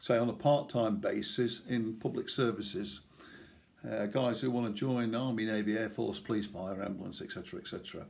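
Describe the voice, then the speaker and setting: In a room with audible echo, a man talks at a fairly quick pace and medium pitch with vocal fry. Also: ordinary pitch variation. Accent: East Midlands. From England, East Midlands (Nottinghamshire). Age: 60s. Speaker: retired police officer and swimming club chairman. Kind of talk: personal reminiscence. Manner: casual with filler hesitations.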